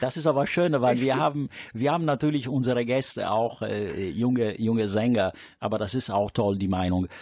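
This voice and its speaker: A man with an Italian accent speaks at a moderate pace and a medium pitch. His pitch varies in an ordinary way, and the background is quiet. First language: Italian (speaking German). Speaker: radio host. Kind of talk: casual chat. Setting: studio.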